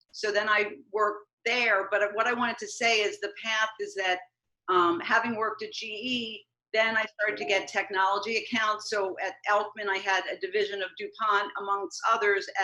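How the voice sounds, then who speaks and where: At a moderate pace, a woman speaks fairly high in pitch with a bright, sharp tone and monotone, flat intonation. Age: 60s. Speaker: marketing and communications consultant. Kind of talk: casual interview.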